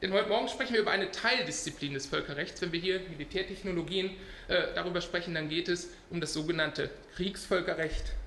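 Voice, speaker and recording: A man with a high pitch talks at a very fast pace, with audible room echo and noticeable background noise. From Scotland, Glasgow. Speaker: international law scholar. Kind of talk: lecture. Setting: conference panel with audience.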